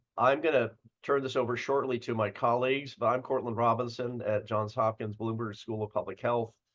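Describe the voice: A raspy put-on character voice, fairly quick with hardly any pauses and monotone, flat intonation. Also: man, medium pitch for a man.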